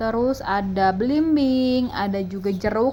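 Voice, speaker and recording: A woman with a West Javanese accent talks at a very slow pace and medium pitch. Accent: Sundanese. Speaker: gardening vlogger, housewife. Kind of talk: casual vlog narration.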